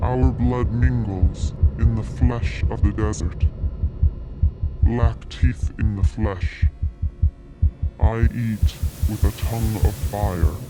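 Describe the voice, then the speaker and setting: Over clear background noise, a put-on character voice moves at a very slow pace with long, frequent pauses. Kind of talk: poetic spoken-word monologue. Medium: stage play.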